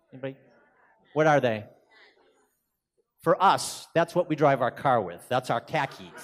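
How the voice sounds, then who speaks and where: With long, frequent pauses, a man with fairly high pitch and vocal fry speaks in a lively intonation. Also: moderate pace. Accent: strong Boston. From Boston, US. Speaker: keynote speaker, executive director of a consultancy. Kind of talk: conference presentation. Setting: conference stage with audience. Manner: animated.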